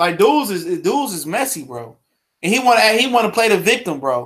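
This is a man's voice. His pitch is high. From US Midwest, Detroit. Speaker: boxing podcast host. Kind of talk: casual solo livestream commentary. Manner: animated.

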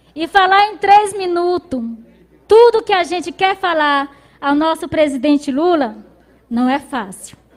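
The speaker moves at a fairly slow pace, with long, frequent pauses and lively intonation. Background noise is noticeable. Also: woman, extremely high pitch for a woman. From Brazil, Maranhão interior. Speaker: rural union leader, farmer. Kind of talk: speech of welcome.

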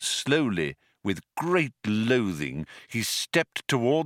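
Someone reads aloud in a natural voice, with a quiet background behind.

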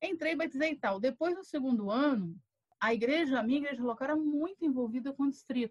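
The intonation is lively. Words come out at a very fast pace. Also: woman, dry, close sound with no echo. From Rio de Janeiro state, Brazil (Volta Redonda). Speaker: pastor and professor. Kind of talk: casual interview chat.

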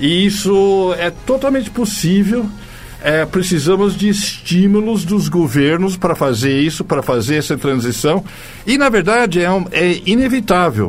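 A man's high voice at a fairly slow pace, with lively intonation, very even loudness, and noticeable background noise. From United States. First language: English (speaking Portuguese). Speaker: journalist and writer. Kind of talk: interview. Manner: halting.

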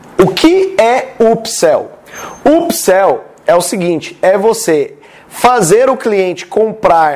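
A man speaks with a Brazilian accent. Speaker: sales and marketing content creator. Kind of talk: tutorial. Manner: animated.

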